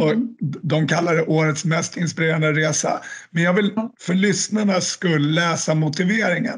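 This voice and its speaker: At a moderate pace, a man with a high pitch keeps very even loudness and fairly even intonation. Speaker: podcast host. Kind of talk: casual interview.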